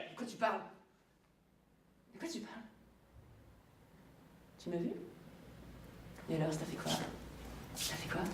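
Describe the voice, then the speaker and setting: A woman speaks in an angry tone at a fairly quick pace, using lively intonation and a medium pitch. She makes long, frequent pauses, and there is noticeable background noise. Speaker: actress. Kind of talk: acting showreel with dramatic scenes. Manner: angry, raw, confrontational, emotional.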